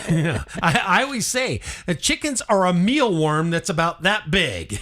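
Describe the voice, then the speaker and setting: A man's high voice with very wide pitch swings, a fairly slow pace and noticeable background noise. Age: 60s. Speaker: farmer. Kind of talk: casual chat.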